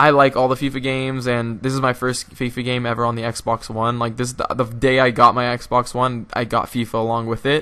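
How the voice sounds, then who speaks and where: A man with an American accent, medium-pitched and bright, sharp in tone, at a fairly quick pace with hardly any pauses. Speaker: gaming youtuber. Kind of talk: gameplay commentary. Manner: halting.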